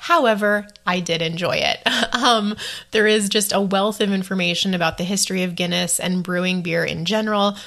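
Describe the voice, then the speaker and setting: At a moderate pace, a woman speaks with medium pitch, an enthusiastic tone, and a bright, sharp sound. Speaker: travel podcaster. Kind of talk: solo podcast monologue, casual. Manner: chatty, enthusiastic.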